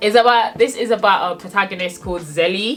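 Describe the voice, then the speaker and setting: Music behind a woman speaking at a moderate pace. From born in Nigeria, raised in England. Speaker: book YouTuber. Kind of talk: casual vlog book review.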